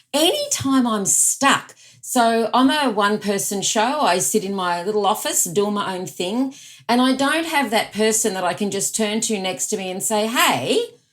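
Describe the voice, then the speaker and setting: In an Australian accent, a woman with a fairly high pitch speaks at a moderate pace with lively intonation on a very clean recording with a silent background. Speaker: productivity expert and author. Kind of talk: podcast interview.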